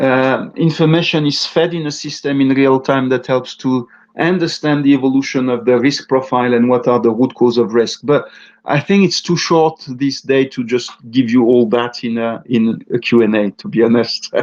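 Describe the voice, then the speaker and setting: A man with a normal speaking voice talks at a moderate pace and a medium pitch. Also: ordinary pitch variation. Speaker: webinar presenter on purchasing. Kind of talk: webinar Q&A. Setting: online webinar.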